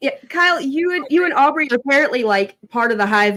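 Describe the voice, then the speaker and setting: Her Southern accent carrying very wide pitch swings, a woman speaks at a fairly quick pace. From Tennessee. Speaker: podcast co-host. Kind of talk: casual chat.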